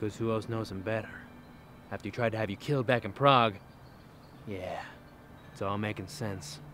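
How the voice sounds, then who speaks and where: A man speaks at a fairly quick pace and fairly low pitch, with ordinary pitch variation and an unremarkable speaking voice. The sound is dry with no echo, and there is light background noise. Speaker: actor playing a suave spy. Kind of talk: scripted comedy dialogue. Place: garden.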